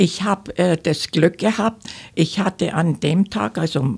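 A woman talks at a very slow pace with vocal fry. Her pitch variation is ordinary. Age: 80s+. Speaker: fraud victim, senior council speaker. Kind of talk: interview testimony. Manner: halting, many filler sounds.

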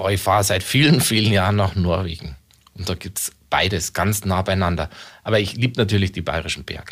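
A man talks at a fairly quick pace in a very deep, low voice with ordinary pitch variation. The recording is very clean, with a silent background. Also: big swings in loudness. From Munich, Bavaria. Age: 40s. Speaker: local politician. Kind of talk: radio interview.

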